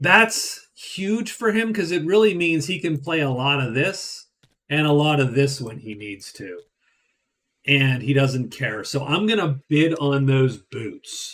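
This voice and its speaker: The speaker uses lively intonation with an American accent at a very slow pace. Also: man. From Western Pennsylvania. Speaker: board game streamer. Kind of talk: casual gameplay commentary. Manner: casual, with filler words.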